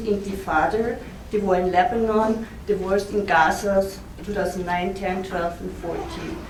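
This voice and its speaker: A woman with an Austrian accent speaks at a moderate pace and a medium pitch, her intonation fairly even. Audible room echo and noticeable background noise surround her voice. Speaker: historian, university academic. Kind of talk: conference talk. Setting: conference with audience.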